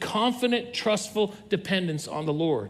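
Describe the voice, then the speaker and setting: Audible room echo is present. A man speaks with ordinary pitch variation. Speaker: pastor. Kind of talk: sermon. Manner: fast.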